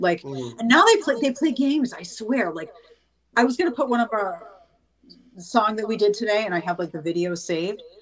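At a moderate pace, this is a normal speaking voice with lively intonation. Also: woman. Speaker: singer and actress. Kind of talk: casual interview chat. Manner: casual, chatty.

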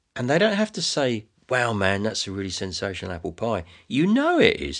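A man with an English accent speaks at a moderate pace against a quiet background. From England. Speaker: folk singer-songwriter. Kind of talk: interview conversation.

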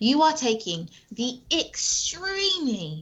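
The speaker is a woman. She has a British accent. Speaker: anti-abortion advocate. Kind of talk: casual interview. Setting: video call.

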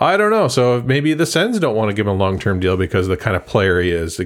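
A normal speaking voice from a man, fairly low in pitch, with lively intonation at a fairly quick pace, in a very clean recording with a silent background. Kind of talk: casual chat. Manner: joking, playful.

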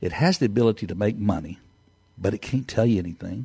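With an American accent, a man speaks in a dark, mellow, somewhat breathy voice with lively intonation. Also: dry, close sound with no echo. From Texas. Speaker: entrepreneur. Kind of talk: interview. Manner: halting.

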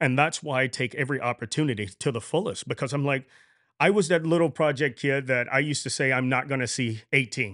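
Words come out very fast in an American accent. Nothing else can be heard behind the voice. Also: man, medium pitch for a man, ordinary pitch variation. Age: 40s. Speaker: training coordinator. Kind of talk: casual interview. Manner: animated.

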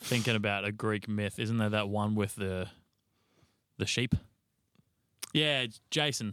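With an Australian accent, a man speaks at a fairly slow pace in a fairly low voice, his tone bright and sharp, with long, frequent pauses. The recording is very clean, with a silent background. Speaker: podcast co-host. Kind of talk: casual chat.

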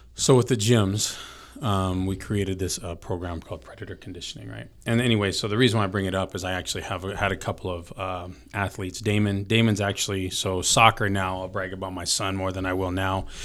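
A man with an American accent speaks at a fairly quick pace, with hardly any pauses. His voice is very deep and low, with fairly even intonation. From Filipino heritage, grew up in a small US town. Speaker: gym owner and motivational coach. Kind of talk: casual chat. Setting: studio.

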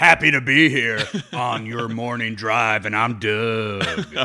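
A man's put-on character voice at medium pitch and a fairly slow pace. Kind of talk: upbeat broadcast patter.

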